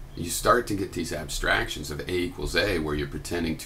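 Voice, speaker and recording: A man talks at a fairly quick pace. Light background noise can be heard. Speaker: video blogger. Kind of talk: explanatory monologue. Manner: halting, thoughtful. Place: home room. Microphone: webcam.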